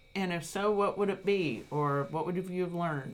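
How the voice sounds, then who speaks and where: A woman's fairly low voice, lively in intonation, at a fairly slow pace. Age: 50s. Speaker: podcast host, university educator. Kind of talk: interview.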